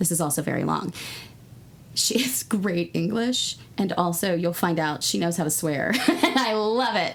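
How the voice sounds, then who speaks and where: Animated, lively intonation from a woman at fairly low pitch, moderate in pace, over noticeable background noise. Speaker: podcast host. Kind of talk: reading aloud a listener letter with casual banter.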